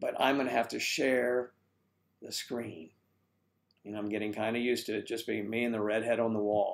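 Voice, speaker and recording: With long, frequent pauses, a man speaks at medium pitch and a moderate pace. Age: 60s. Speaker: live streamer, age-gap community founder. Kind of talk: live stream chat reading comments. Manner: animated.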